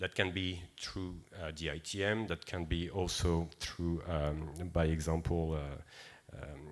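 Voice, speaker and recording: Under audible room echo, a man with a French accent and a very deep, low pitch speaks at a very slow pace with hardly any pauses and fairly even intonation. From France. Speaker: seafood certification director. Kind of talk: conference presentation. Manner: hesitant, many fillers.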